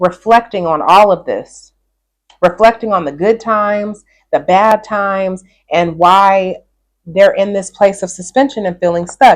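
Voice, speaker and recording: Fairly slow pace and fairly even intonation. This is a plain, everyday voice. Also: woman, medium pitch for a woman. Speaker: tarot reader. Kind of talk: tarot reading.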